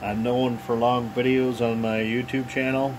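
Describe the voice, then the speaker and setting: A man at medium pitch and a fairly slow pace, with noticeable background noise. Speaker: cylinder head porter, DIY video maker. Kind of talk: casual workshop tutorial. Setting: home workshop. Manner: loud; casual, hesitant with many fillers.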